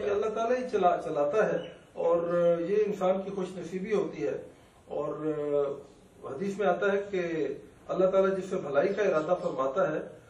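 There is audible room echo as a man speaks at a high pitch, with ordinary pitch variation. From Pakistan. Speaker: doctor; guest. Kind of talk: interview. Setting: studio. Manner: soft-spoken. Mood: calm, reflective. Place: studio.

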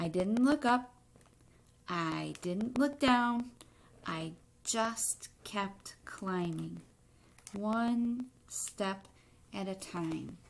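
A woman speaks at a very slow pace and medium pitch, with lively intonation and vocal fry. Her long, frequent pauses carry audible room echo.

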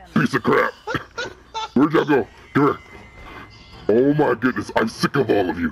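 A man speaks in a put-on character voice at medium pitch. His pace is moderate, broken by long, frequent pauses. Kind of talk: game stream role play. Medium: role play. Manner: gruff, taunting.

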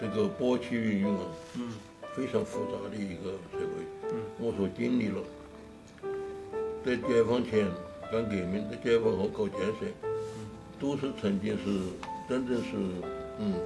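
A man talking at a fairly slow pace, with clear music in the background. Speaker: writer. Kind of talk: interview answer. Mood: reflective, regretful. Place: home room.

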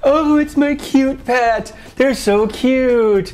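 A female-sounding voice puts on a character voice at a high pitch. She speaks at a very slow pace over music in the background. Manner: gushing, put-on.

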